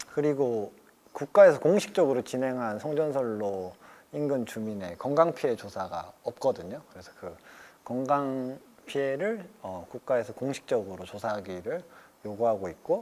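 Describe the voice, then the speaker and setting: Slowish in pace, a man with a dark, mellow tone makes very wide pitch swings and big swings in loudness. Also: medium pitch for a man. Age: 20s. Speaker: carpenter and anti-power-line activist. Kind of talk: interview answer.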